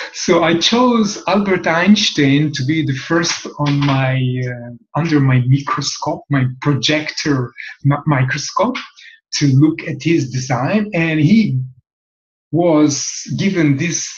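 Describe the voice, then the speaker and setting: Speaking at a very slow pace with a strong non-native accent, a man with a fairly high pitch and ordinary pitch variation sounds somewhat breathy in a room with audible echo. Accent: heavy foreign accent in English. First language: Hebrew. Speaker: human design teacher. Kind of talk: talk-to-camera lecture. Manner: halting, with many fillers.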